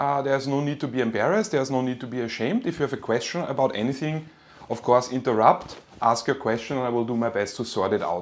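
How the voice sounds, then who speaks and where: A man's very fast speech in a German accent, with ordinary pitch variation. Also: medium pitch for a man. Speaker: university lecturer. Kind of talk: lecture. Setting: online class from home. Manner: casual, with fillers and repeats.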